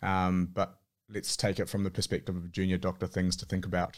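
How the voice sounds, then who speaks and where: A man talks at a fairly quick pace in a very deep, low pitch. The recording is very clean, with a silent background. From New Zealand, Auckland. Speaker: surgical registrar. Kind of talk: casual interview.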